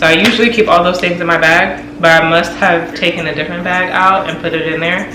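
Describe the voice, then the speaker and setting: A woman speaks at a fairly low pitch for a woman, with audible room echo. Music plays in the background. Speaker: lifestyle vlogger. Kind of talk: casual vlog talk to camera. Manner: fast; animated.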